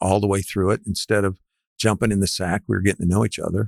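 This man has a fairly low pitch. The sound is dry and close, with no echo. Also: quiet background. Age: 70s. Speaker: real estate developer.

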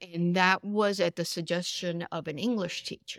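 A woman's medium-pitched voice with a Spanish accent, in a dry, close sound with no echo. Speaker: author and newspaper columnist. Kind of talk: casual interview. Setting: bookstore, recorded in person.

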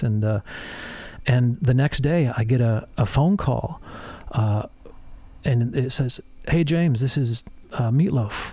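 A somewhat breathy voice with a dark, mellow tone. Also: man. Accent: American. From US Midwest, Michigan. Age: 50s. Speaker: songwriter and producer. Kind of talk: casual chat.

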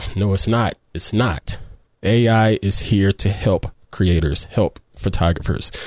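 In a Southern US accent, a man talks at a fairly slow pace with a fairly low pitch and ordinary pitch variation. His loudness stays very even against a quiet background. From US South. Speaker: photography podcast host. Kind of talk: tutorial. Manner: upbeat, animated.

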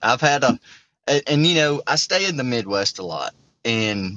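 Lively intonation from a man with a Southern US accent. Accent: Southern twang. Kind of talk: casual chat.

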